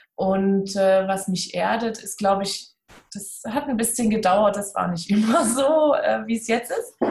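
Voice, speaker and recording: The pace is fairly slow. The voice sounds somewhat breathy. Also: woman, medium pitch for a woman, ordinary pitch variation. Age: 30s. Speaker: seminar center owner. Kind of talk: casual interview.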